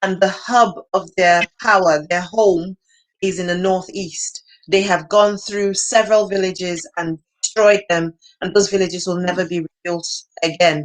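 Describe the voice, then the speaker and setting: With a Nigerian accent, a woman speaks at a moderate pace with a medium pitch and fairly even intonation. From northeastern Nigeria. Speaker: nonprofit founder. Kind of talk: interview. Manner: halting.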